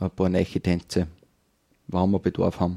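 A man with a dark, mellow tone at a moderate pace. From Upper Austria, Kirchdorf an der Krems. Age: 40s. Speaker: folk dance group leader and farmer. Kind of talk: casual interview. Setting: wine bar.

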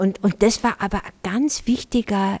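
Dark and mellow in tone, a woman speaks at medium pitch in a dry, close sound with no echo, on a very clean recording with a silent background. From Germany. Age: 70s. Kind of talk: panel talk with live audience. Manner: halting.

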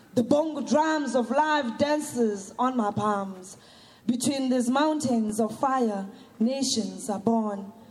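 Very slow delivery with very even loudness, ordinary pitch variation and audible room echo. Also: woman, high pitch for a woman. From South Africa, Soweto. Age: young. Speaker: performance poet. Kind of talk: poetry performance.

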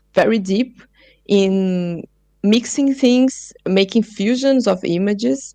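A woman with a Portuguese accent, medium pitch, ordinary pitch variation and a very slow pace. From Brazil, São Paulo. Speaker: multimedia artist and researcher. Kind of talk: interview. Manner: halting, many fillers.

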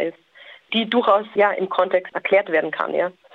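The speaker is a woman. Her pitch is medium. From Austria. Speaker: social scientist. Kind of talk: interview.

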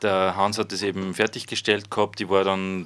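A man with a fairly low pitch speaks at a moderate speed. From Upper Austria, Freistadt. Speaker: youth centre worker and gardening project member. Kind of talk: interview.

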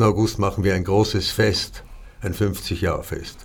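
A man speaks in a somewhat breathy voice. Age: old. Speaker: theatre director. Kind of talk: casual chat. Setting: studio.

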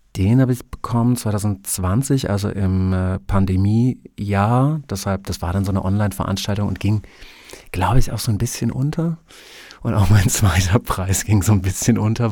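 In a very clean recording with a silent background, a man speaks at a moderate pace. His voice is fairly low and dark and mellow in tone, with ordinary pitch variation. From Germany (Prussia/north-east). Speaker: book blogger. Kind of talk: interview.

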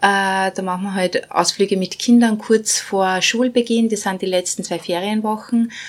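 A woman talks with a plain, everyday voice at a moderate pace. Her pitch is medium and her intonation fairly even. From Bosnia. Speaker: non-profit managing director. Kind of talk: interview.

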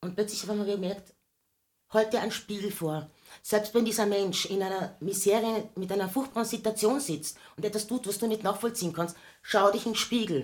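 A woman with an ordinary speaking voice, medium pitch, ordinary pitch variation and a moderate pace. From Austria, Carinthia. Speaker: singer. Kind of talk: casual chat.

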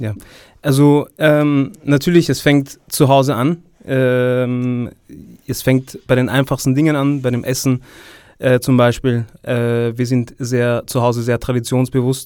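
Very slowly, a man gets his words out. His intonation stays fairly even at a medium pitch. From Vienna, Austria. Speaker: political science student. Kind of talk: interview. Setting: studio.

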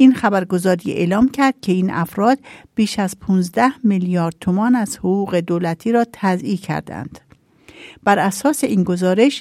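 A woman with a dark, mellow tone speaks at medium pitch and a moderate pace, with ordinary pitch variation. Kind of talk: news reading.

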